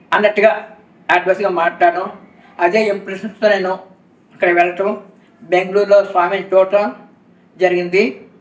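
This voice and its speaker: The speech is monotone with flat intonation and very even loudness, set against noticeable background noise. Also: man, high pitch for a man. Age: 70s. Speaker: retired factory manager, devotee. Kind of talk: interview testimony.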